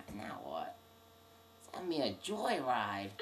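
A cartoonish character voice sits at a low-to-middle pitch. Clear background noise runs underneath. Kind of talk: comic cartoon voice acting.

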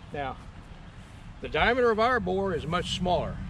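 Over noticeable background noise, a man talks fairly quickly at a high pitch with lively intonation, in a dry sound with no echo. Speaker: living history reenactor. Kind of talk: demonstration explanation. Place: open country. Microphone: camera far.

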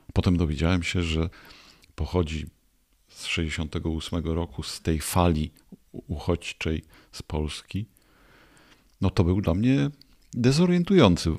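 Over a quiet background, a man with a very deep, low voice speaks very slowly with ordinary pitch variation, big swings in loudness and long, frequent pauses. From Poland, Greater Poland; Poland. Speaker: podcast host. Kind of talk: interview. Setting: studio. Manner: formal. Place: studio. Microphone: studio mic.

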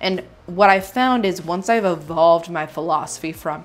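At a moderate pace, a woman talks. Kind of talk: opinion talk to camera. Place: home room.

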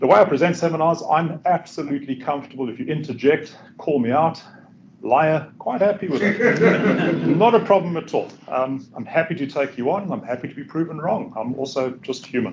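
A man at a fairly quick pace over light background noise. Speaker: presenter. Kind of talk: lecture. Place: classroom.

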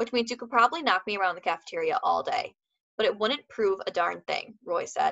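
Natural-voiced reading aloud, set in a quiet background

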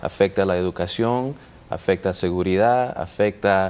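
Fairly low in pitch, a man's voice carries fairly even intonation. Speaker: political campaign representative. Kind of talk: TV interview. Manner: halting. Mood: friendly, earnest appeal to vote. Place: studio. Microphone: lapel.

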